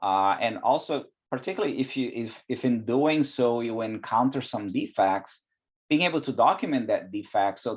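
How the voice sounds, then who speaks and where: A man speaks with a non-native accent. His pace is moderate and his pitch variation ordinary. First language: not English. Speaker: quality director in life sciences. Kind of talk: podcast interview. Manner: hesitant, many fillers.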